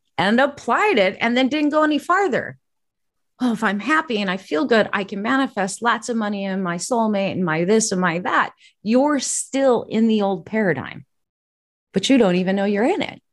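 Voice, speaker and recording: This is a plain, everyday voice, a woman speaking at a moderate pace in a fairly high pitch. Her intonation is lively, and the recording is very clean with a silent background. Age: 50s. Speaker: intuitive and podcast host. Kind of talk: interview.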